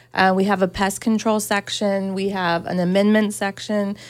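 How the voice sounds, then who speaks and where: On a very clean recording with a silent background, a woman with an American accent talks at a moderate pace in a medium pitch with monotone, flat intonation. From Georgia, US South. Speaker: garden center owner. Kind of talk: radio interview. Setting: studio.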